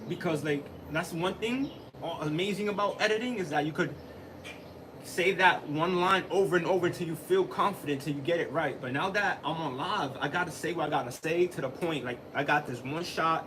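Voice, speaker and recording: Noticeable background noise runs under the voice. Pitch variation is ordinary. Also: man, high pitch for a man. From Dominican heritage. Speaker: live streamer, tech deck content creator. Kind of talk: casual live stream chat. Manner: fast, halting.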